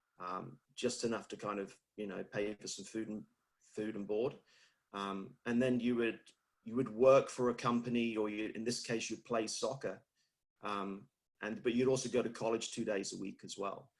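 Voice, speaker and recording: A man with a British accent, at a moderate pace, with fairly even intonation. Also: medium pitch for a man. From UK. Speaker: fitness industry leader. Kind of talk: interview.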